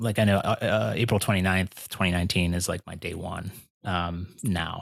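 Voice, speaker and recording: In a very clean recording with a silent background and a dry, close sound with no echo, a man with an American accent speaks in a very deep, low pitch at a moderate pace with ordinary pitch variation. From Pennsylvania, US. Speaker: person in recovery from alcohol. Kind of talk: casual interview.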